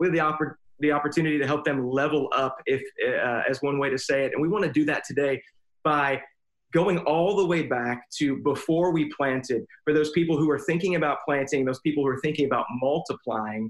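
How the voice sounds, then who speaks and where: An ordinary speaking voice moves at a fairly quick pace. Its loudness stays very even and its pitch variation is ordinary. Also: man, fairly high pitch for a man. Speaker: pastor. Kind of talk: casual chat.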